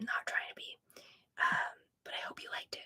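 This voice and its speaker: A woman whispering at a moderate pace, in a dry, close sound with no echo. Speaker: live-stream sales host. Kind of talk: casual livestream chat. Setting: livestream. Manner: whispered ASMR-style earlier in stream.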